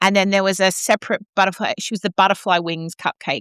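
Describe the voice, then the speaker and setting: A woman talks at a fairly quick pace. The sound is dry and close with no echo, over a quiet background. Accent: Australian. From Australia. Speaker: opera singer and podcast co-host. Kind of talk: casual chat. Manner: animated.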